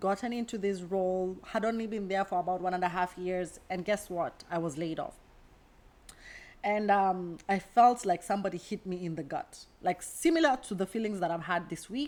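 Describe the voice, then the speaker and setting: On a very clean recording with a silent background, a woman with an American accent speaks at a moderate pace in a medium pitch with ordinary pitch variation. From Kenya. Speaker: career coach. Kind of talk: casual vlog monologue.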